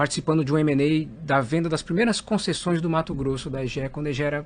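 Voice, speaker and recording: A man with a fairly high pitch talks in an ordinary speaking voice. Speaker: company executive. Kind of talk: interview.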